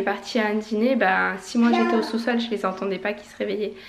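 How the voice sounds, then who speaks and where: A woman talks fairly quickly, with audible room echo and noticeable background noise in the recording. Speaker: family vlogger. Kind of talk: casual vlog. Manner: casual, hesitant.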